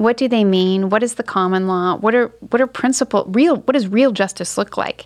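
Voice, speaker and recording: At a moderate pace with hardly any pauses, a woman with an unremarkable speaking voice talks at a fairly high pitch, keeping her loudness very even and her pitch variation ordinary. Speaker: lawyer. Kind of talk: interview.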